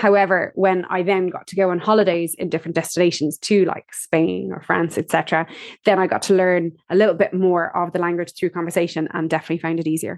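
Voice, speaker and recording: A woman with an Irish accent speaks at a very fast pace in a fairly low, flat, monotone pitch, with hardly any pauses. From Ireland. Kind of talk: interview answers.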